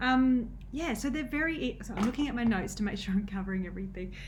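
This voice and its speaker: This woman's fairly high voice carries lively intonation at a fairly quick pace. Audible room echo surrounds her. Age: 30s. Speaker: nutrition coach. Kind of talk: casual vlog talk. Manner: halting, many fillers.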